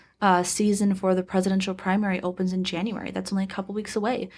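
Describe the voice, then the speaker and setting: On a very clean recording with a silent background, a woman with an American accent talks very fast at a medium pitch, her intonation monotone and flat. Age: 20s. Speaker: political party executive director. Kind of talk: interview. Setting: studio.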